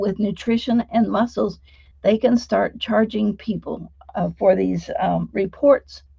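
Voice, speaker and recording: A woman's fairly high voice, dark and mellow in tone, with vocal fry. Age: 70s. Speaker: sound healing practitioner and trainer. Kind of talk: interview conversation.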